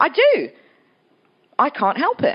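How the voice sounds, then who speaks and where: A woman is speaking. She has an English accent. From England. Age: 40s. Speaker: author. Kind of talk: festival talk interview.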